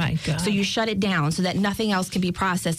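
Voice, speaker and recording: At a very fast pace, a woman of medium pitch speaks with ordinary pitch variation against noticeable background noise. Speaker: banking specialist. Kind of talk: casual interview.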